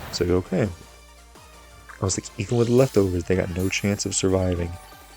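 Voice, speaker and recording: Over music in the background, a man speaks at a fairly quick pace with a very deep, low voice and fairly even intonation. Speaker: gaming commentator. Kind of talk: gameplay commentary. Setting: home recording. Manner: soft-spoken.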